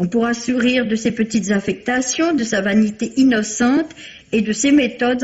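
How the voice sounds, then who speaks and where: The loudness stays very even at a moderate pace. Pitch varies in an ordinary way. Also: woman. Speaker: book critic. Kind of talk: radio book review, read aloud. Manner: formal, measured, polished. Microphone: old recording.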